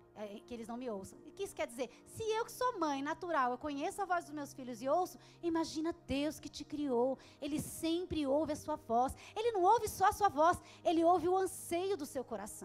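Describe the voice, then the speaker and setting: A woman speaks loudly in a high pitch. Her pitch swings very widely. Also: moderate pace. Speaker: pastor. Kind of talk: sermon.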